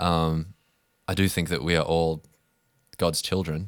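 Very clean and set against a silent background, the recording has a man speaking in an Australian accent. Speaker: podcast co-host. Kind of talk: casual conversational discussion.

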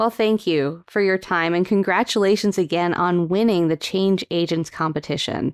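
With an ordinary speaking voice at a medium pitch, a woman talks at a moderate pace with hardly any pauses and very even loudness, on a very clean recording with a silent background. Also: fairly even intonation. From Calgary, Alberta, Canada. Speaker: sleep physician and podcast host. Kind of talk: interview.

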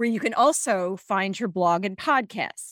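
A woman's plain, everyday voice at a medium pitch with ordinary pitch variation and a moderate pace, dry and close with no echo. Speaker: podcast host. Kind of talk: interview.

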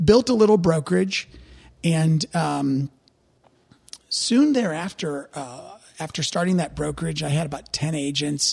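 A man with a Midwestern American accent, fairly high pitch, lively intonation, a fairly slow pace and long, frequent pauses. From US Midwest, St. Louis, Missouri. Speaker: real estate regional director. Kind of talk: podcast interview.

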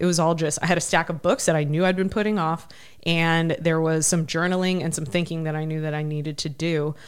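Recorded very cleanly over a silent background, a woman with an American accent and a plain, everyday voice speaks at a fairly quick pace and fairly low pitch with fairly even intonation. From Ohio, US Midwest. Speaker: army veteran and adventurer. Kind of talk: interview conversation.

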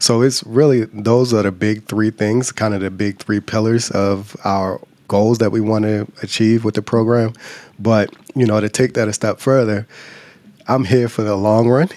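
This man has a fairly low pitch and an American accent. His intonation is monotone and flat. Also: moderate pace. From Baltimore, Maryland, US. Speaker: urologic oncologist. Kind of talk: interview.

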